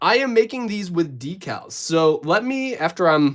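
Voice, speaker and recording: Animated and swinging very widely in pitch, a man speaks with a slight Minnesotan accent on a very clean recording with a silent background. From Minnesota, US. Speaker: YouTuber building LEGO figures. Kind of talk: live stream chat. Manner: casual, animated.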